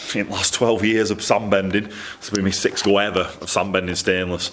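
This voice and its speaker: In a strong Lancashire accent, a man speaks at a moderate pace with a fairly low pitch. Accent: thick Lancashire. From Lancashire, northern England. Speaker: exhaust fabricator. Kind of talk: workshop vlog. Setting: workshop. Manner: casual, repetitive.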